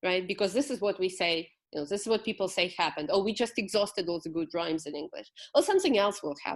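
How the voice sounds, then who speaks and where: Woman with a Ukrainian accent, very fast and with lively intonation. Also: medium pitch for a woman, quiet background. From Ukraine, Kyiv. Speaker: poet. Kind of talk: interview.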